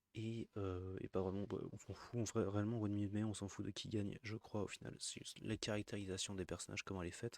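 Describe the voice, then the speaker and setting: The sound is dry and close, with no echo. Delivery is very fast, with ordinary pitch variation. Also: man. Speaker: streamer reacting to videos. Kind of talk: casual live commentary. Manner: hesitant, many fillers.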